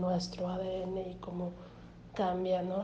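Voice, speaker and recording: A woman's voice amid noticeable background noise. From Mexico, Hermosillo, Sonora. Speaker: graduate student describing her artwork. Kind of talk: personal reflection on an artwork. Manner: halting, many fillers and repetitions.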